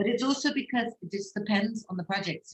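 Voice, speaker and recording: Somewhat breathy speech at a fairly quick pace, with ordinary pitch variation. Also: woman. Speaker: casting director. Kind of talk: Q&A interview.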